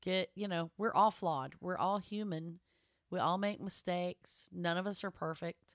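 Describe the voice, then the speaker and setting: Recorded very cleanly against a silent background, a woman with a plain, everyday voice speaks at a moderate pace. Her medium pitch holds fairly even intonation, and the sound is dry and close with no echo. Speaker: podcast co-host. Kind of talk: casual chat.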